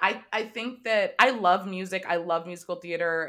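A woman with an American accent speaks in a bright, sharp tone with ordinary pitch variation. The recording is very clean, with a silent background. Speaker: TV comedy writer and producer. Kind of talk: casual interview.

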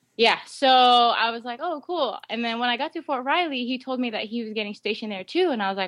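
A woman's high voice, fairly quick, with lively intonation. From Guam. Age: 30s. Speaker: army fitness instructor and personal trainer. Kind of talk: casual interview.

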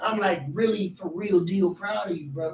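The speaker has an American accent and keeps a middling speed while clear noise runs behind the voice. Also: man. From Texas. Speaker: podcast co-host. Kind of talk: casual chat.

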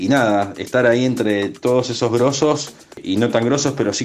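A man in a Rioplatense accent speaks with ordinary pitch variation over noticeable background noise. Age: 30s. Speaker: DJ. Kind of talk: interview. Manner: halting.

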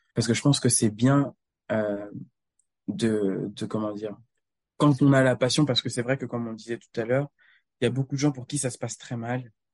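A man talks at a moderate pace with long, frequent pauses and fairly even intonation at medium pitch. The background is quiet, and the sound is dry and close with no echo. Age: 20s. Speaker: rhythmic gymnast and doctoral student. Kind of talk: casual interview.

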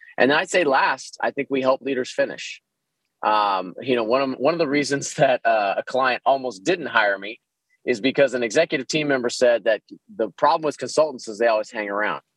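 Here a man with an American accent uses an ordinary speaking voice at medium pitch, with ordinary pitch variation. He moves at a fairly quick pace, and the sound is dry and close with no echo. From Texas, Dallas. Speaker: organizational consultant. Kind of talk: interview.

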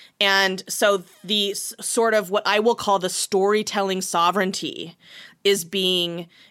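In an American accent, a woman with a bright, sharp tone speaks at a fairly slow pace, her medium pitch held in monotone, flat intonation. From small US town. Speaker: comedy writer and actor. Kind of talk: casual chat.

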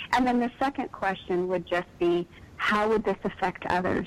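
A woman with an American accent talks at a moderate pace at a medium pitch, in an ordinary speaking voice. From East Texas. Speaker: author. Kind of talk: casual chat.

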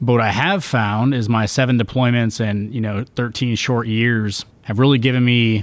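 Recorded very cleanly against a silent background, this is an ordinary speaking voice at a moderate pace with ordinary pitch variation. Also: man. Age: 30s. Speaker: marine sergeant. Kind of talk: panel discussion.

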